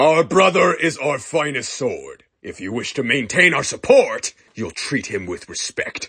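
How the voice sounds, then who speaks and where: A man's put-on character voice, fairly high in pitch, at a moderate pace with hardly any pauses. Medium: audio drama. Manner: sarcastic.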